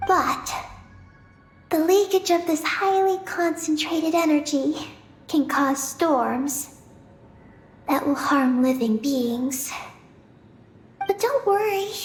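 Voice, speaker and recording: A high-pitched, put-on character voice at a fairly slow pace, with long, frequent pauses. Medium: video game. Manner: calm, even, matter-of-fact.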